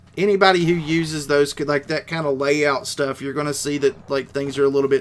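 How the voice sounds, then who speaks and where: This man has an Appalachian accent and a fairly high pitch. He talks at a moderate pace. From West Virginia. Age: 30s. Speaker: gaming streamer. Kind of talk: live stream chat. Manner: casual.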